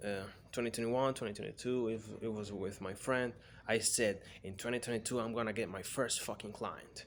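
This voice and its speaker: With a Spanish accent, a man speaks at a medium pitch and fairly quick pace in monotone, flat intonation. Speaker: freelance copywriter. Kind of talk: casual personal vlog. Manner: halting.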